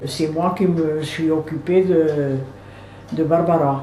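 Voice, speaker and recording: A woman's fairly low voice, with ordinary pitch variation, comes through noticeable background noise and audible room echo. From southern France, Aude near Carcassonne. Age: 80s+. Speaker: retired seamstress, interviewee. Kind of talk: personal life-story interview. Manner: halting, with frequent hesitations.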